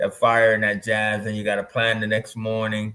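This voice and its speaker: This man's pitch is fairly low. He has an American accent. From United States. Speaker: film and music video producer, teacher. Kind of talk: casual interview chat. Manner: halting, many fillers.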